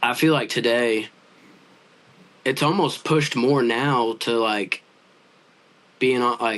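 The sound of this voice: A man speaks at a medium pitch with a fairly bright tone. His intonation stays fairly even.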